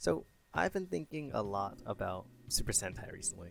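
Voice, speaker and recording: Over music in the background, the speaker uses lively intonation. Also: man. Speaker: YouTube commentator on games. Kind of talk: casual talk to camera.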